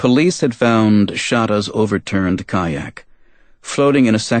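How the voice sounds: The voice reads naturally. Nothing about the reading sounds forced.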